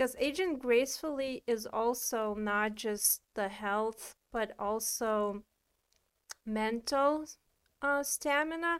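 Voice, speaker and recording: The speech moves at a very slow pace with ordinary pitch variation. The recording is very clean, with a silent background. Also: woman, high pitch for a woman. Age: 30s. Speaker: wellness podcast co-host. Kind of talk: casual chat.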